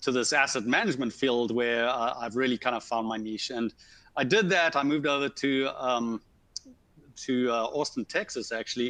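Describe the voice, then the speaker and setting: In a Zimbabwean accent, a man speaks at a moderate pace with a bright, sharp tone, medium pitch and ordinary pitch variation. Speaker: civil engineer, asset management consultant. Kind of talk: webinar conversation.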